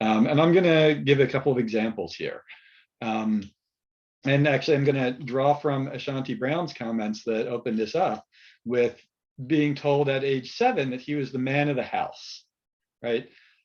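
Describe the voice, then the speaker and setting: A man with an American accent, in a plain, everyday voice, at a medium pitch and moderate pace with ordinary pitch variation, over a quiet background. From United States. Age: middle-aged. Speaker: therapist and researcher on men. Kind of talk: webinar panel talk.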